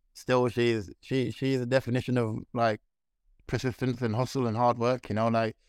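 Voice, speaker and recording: Speaking at a fairly quick pace in a Birmingham accent, a man keeps a monotone, flat intonation in a dry, close sound with no echo. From Birmingham, England. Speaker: MMA world champion. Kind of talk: interview. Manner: halting.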